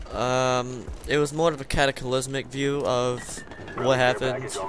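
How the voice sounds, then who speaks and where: A man speaks at a medium pitch. Noticeable background noise can be heard. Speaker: gaming video creator. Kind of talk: casual gameplay commentary. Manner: halting, many fillers.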